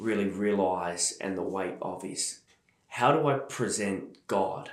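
In an Australian accent, someone talks at a very slow pace with ordinary pitch variation and audible room echo. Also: man. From Australia, Melbourne. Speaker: church leader. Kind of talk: interview testimony.

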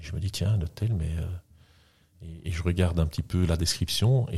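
A man talks with a very deep, low pitch and ordinary pitch variation, sounding somewhat breathy. The recording is very clean, with a silent background. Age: 50s. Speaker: entrepreneur. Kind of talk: interview. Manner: halting.

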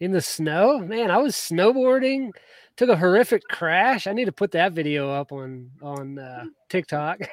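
This man has a high-pitched voice with an American accent, swinging very widely in pitch and heavily in loudness. The sound is dry and close, with no echo. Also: moderate pace. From Georgia, US South. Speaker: podcast host. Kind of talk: casual chat.

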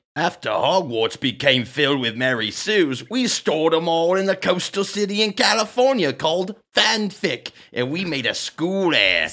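A man's put-on character voice, gruff and high-pitched, with very wide pitch swings at a moderate pace. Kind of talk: comic overacting. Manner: crusty, gruff, like an old man.

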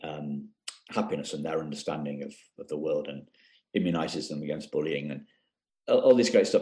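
Delivered in a British accent at a fairly quick pace, the speech has big swings in loudness and long, frequent pauses. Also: man. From UK. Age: 50s. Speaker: coach for adoptees. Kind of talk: interview.

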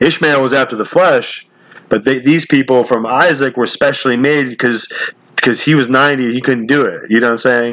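A man's fairly quick speech with fairly even intonation over noticeable background noise. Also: medium pitch for a man. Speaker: podcast host. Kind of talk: casual chat. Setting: phone call. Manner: halting.

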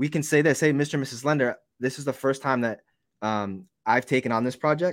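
On a very clean recording with a silent background, a man with a normal speaking voice speaks at a fairly quick pace, with a medium pitch and ordinary pitch variation. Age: 40s. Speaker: real estate investor. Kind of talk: casual interview.

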